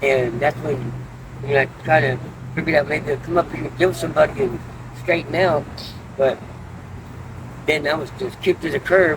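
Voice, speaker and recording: There is noticeable background noise as a man speaks with ordinary pitch variation. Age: 60s. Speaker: homeless man in recovery interview. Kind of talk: street interview. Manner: halting.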